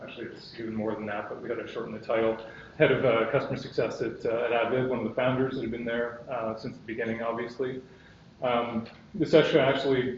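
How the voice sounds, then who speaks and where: Speaking very fast in a medium-pitched, monotone voice with flat intonation, a man is heard over audible room echo. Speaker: software company executive. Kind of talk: conference presentation. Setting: stage with audience.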